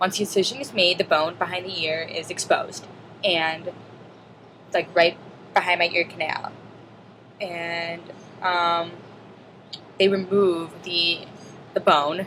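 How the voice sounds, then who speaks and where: A woman speaks at a fairly slow pace with a fairly low pitch and monotone, flat intonation. Noticeable background noise is present. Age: 20s. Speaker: student; deaf cochlear implant recipient. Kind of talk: casual video log talk to camera.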